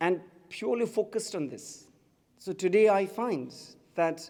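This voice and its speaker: A man with a Tibetan accent speaks at a moderate pace. His pitch is high and his intonation lively. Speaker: writer and activist. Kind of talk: public speech.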